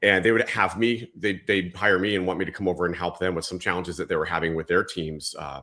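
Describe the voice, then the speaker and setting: Very fast speech in an American accent, bright and sharp in tone with fairly even intonation, in a very clean recording with a silent background. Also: man, very deep, low pitch for a man. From Southern California, Whittier. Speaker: leadership coach and author, former police officer. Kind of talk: interview conversation.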